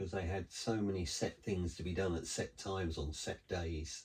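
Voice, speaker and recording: Over a very clean recording with a silent background, a man with a very deep, low pitch speaks at a moderate pace, somewhat breathy and with fairly even intonation. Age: 60s. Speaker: co-host, host's husband. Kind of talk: casual chat.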